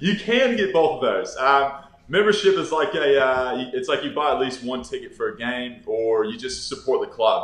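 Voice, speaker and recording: Over noticeable background noise, a speaker with an American accent keeps a moderate pace. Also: man. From Texas. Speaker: professional Australian football player. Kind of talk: casual interview chat. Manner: casual, filler-heavy.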